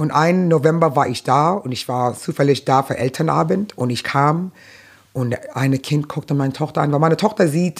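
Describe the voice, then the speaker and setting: Ordinary pitch movement and a moderate pace from a woman with a very deep, low voice. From New York, Brooklyn. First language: English (speaking German). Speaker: stand-up comedian. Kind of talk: casual interview.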